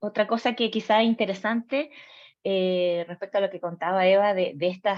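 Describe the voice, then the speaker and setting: This woman speaks with a Chilean accent. Her voice sits at a medium pitch with ordinary pitch variation. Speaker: psychologist. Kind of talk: personal testimony. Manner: hesitant, many fillers.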